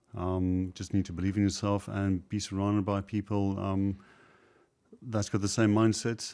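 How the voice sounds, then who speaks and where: On a very clean recording with a silent background, a man with a South African accent speaks at a fairly low pitch and moderate pace, his tone dark and mellow, his intonation monotone and flat. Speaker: property investor, former IT contractor. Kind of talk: interview. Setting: studio. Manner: hesitant, many fillers.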